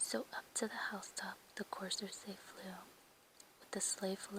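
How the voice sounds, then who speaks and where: Whispering in a gentle tone at a fairly slow pace. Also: woman. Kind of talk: whispered ASMR poetry reading. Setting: quiet indoor, page flips. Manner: whispered, soft, gentle.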